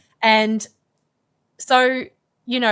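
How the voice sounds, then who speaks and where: On a very clean recording with a silent background, a woman with an Australian accent speaks very slowly in a fairly high, bright, sharp voice. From Australia, Melbourne. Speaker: climate scientist. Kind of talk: podcast interview.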